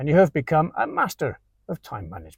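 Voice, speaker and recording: On a very clean recording with a silent background and a dry, close sound free of echo, a man with a fairly high pitch and a somewhat breathy voice talks at a moderate pace. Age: 50s. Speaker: English teacher. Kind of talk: scripted narration.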